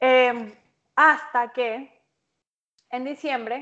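With a Venezuelan accent, a woman speaks at a high pitch. Her pitch variation is ordinary and the background is quiet. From Venezuela, Maturín. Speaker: podcast guest. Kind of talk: casual chat.

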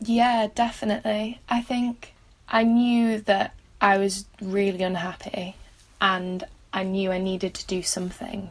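A somewhat breathy woman in a Mancunian accent, medium in pitch, fairly slow, with fairly even intonation. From Manchester, England. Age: 20s. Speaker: student and mental health blogger. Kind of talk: personal testimony interview.

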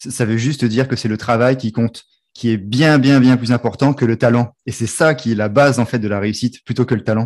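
Intonation here is fairly even. Behind it, the background is silent on a very clean recording. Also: man, medium pitch for a man. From Réunion. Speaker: podcast host. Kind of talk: casual interview. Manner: halting, repeats words.

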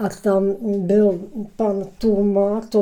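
A woman speaks at a medium pitch with a dark, mellow tone and a flat, monotone delivery. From Czechia, Prague area (Klánovice). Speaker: local elder recounting memories. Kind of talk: interview reminiscence. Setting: studio. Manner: halting, repetitive.

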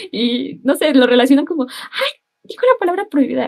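The speaker talks at a fairly quick pace with lively intonation. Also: woman. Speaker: civil engineering student. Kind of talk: casual chat.

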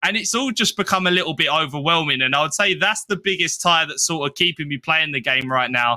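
Speaking very fast with hardly any pauses, a man in a British accent keeps very even loudness and lively intonation. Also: fairly high pitch for a man. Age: 20s. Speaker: gaming content creator. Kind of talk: interview.

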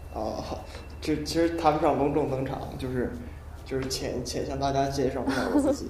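A man with a fairly high pitch talks at a fairly quick pace with fairly even intonation, over noticeable background noise and audible room echo. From northern China. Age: 20s. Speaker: university math student. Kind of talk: casual chat. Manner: halting, many fillers and repetitions.

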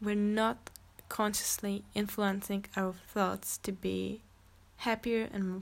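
A woman at a medium pitch, fairly slow pace and fairly even intonation, on a very clean recording with a silent background. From Czech Republic. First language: Czech. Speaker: podcast host. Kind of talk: solo monologue. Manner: halting.

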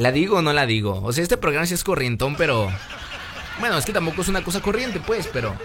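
A man with a fairly high pitch and an animated tone, very wide pitch swings and a very fast pace, over noticeable background noise. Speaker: radio host. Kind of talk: casual radio talk show.

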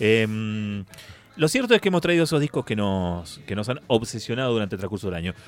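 At a fairly quick pace, a man speaks with lively intonation and a fairly low pitch. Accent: Rioplatense. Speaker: radio host. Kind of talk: casual chat.

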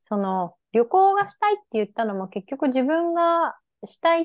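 Moving at a moderate pace, a woman's voice shows very wide pitch swings. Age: 30s. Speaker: podcast co-host. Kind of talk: casual chat.

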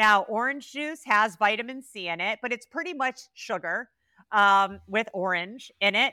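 A woman's plain, everyday voice, fairly high in pitch with ordinary pitch variation, dry and close with no echo on a very clean recording with a silent background. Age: 40s. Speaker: cannabis researcher and expert. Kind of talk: interview conversation.

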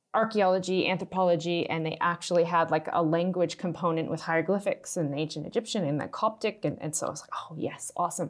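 In a Maritime Canadian accent, a woman with a fairly low pitch speaks at a very fast pace, barely pausing, with fairly even intonation and big swings in loudness. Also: quiet background. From Canada, Nova Scotia. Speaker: startup executive. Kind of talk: casual interview.

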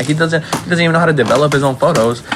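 Very fast male speech competes with noticeable background noise. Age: young. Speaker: podcast host. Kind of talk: casual chat. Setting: home.

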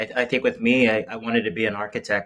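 A man speaks with an American accent. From Las Vegas, Nevada. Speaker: pastry chef and bakery owner. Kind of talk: casual interview chat.

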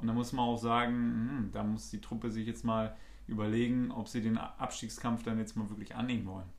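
Audible room echo follows the speaker, who talks at a moderate pace. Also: man. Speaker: football podcast co-host. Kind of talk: casual chat. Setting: studio, sitting across from co-host.

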